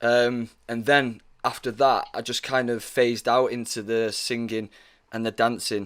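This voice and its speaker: A man with a Mancunian accent speaks at a moderate pace in a flat, monotone voice. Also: very clean recording, silent background. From northern England, Manchester. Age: 20s. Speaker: actor. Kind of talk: casual chat.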